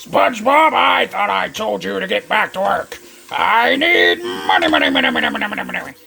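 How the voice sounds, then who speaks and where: A man talks at a fairly quick pace. He is doing a put-on character voice. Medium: tutorial demo.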